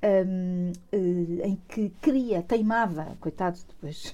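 Her voice is medium in pitch with a dark, mellow tone, belonging to a woman. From Portugal, Lisbon. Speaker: museum director. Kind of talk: interview.

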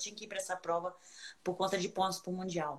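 Amid noticeable background noise, a woman talks at a very fast pace with a medium pitch. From Brazil, Minas Gerais. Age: 40s. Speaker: ultramarathon runner. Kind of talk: casual chat. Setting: video call.

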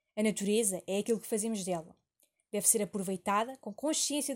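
A woman talks at a fairly quick pace in a somewhat breathy voice, keeping a medium pitch with ordinary pitch variation. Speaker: university student. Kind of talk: scripted narration. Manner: formal.

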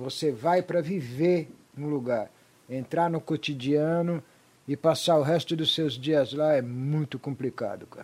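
At a fairly slow pace, with fairly even intonation, the speaker uses a normal speaking voice. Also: man, fairly high pitch for a man. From Brazil, raised from age five. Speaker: rock musician. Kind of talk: casual chat.

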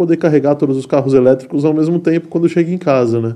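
This man has a dark, mellow tone and a fairly high pitch. His pitch varies in an ordinary way. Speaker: podcast host. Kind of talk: casual chat. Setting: studio.

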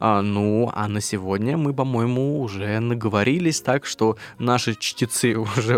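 Heard in a dry, close sound with no echo, a man talks at medium pitch with ordinary pitch variation. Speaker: podcast host. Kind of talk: casual chat. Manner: animated.

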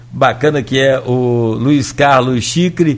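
Using fairly even intonation, a man talks at a very slow pace. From Brazil, Rio de Janeiro state (Italva). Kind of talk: radio interview.

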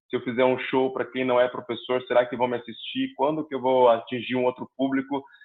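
A man at a fairly quick pace with medium pitch and a normal speaking voice. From Curitiba, southern Brazil. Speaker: comedian. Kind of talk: casual chat.

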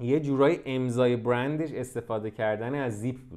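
A man at medium pitch and moderate pace, ordinary pitch variation, against a quiet background. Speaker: fashion business podcast host. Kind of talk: solo podcast monologue. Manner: casual, unscripted.

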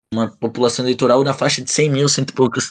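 A man speaks in a plain, everyday voice at a medium pitch with fairly even intonation. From Brazil, Bragança Paulista (São Paulo state). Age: 20s. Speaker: podcast host. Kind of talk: casual chat.

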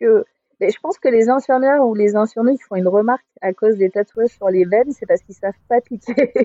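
Her loudness swinging widely, a woman speaks at a fairly high pitch with lively intonation. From southwest France, Agen. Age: 40s. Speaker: author and photographer. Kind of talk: casual interview. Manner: hesitant, many fillers.

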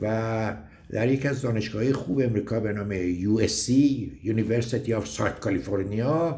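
With audible room echo, a man speaks at a medium pitch, somewhat breathy and at very even loudness. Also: ordinary pitch variation, moderate pace. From Iran, Gorgan. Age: 70s. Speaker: mountaineering club veteran, former magazine editor. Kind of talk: recorded personal reminiscence.

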